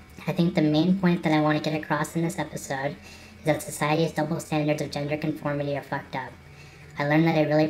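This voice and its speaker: Very fast, monotone speech from a woman with a very deep, low pitch, flat intonation and noticeable background noise. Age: 20s. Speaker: vlogger. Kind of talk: personal vlog monologue.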